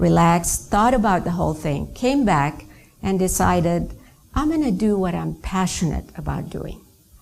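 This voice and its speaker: A woman speaking at a moderate pace amid audible room echo. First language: not English; another native language. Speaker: network marketing trainer. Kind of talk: business training talk.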